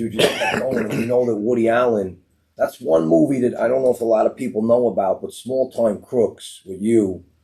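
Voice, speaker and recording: In a Brooklyn accent, a man talks at a fairly quick pace with hardly any pauses. His pitch sits in the medium range. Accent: Brooklyn New York. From Brooklyn, New York (Gravesend). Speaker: podcast host and film director. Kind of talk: casual interview chat.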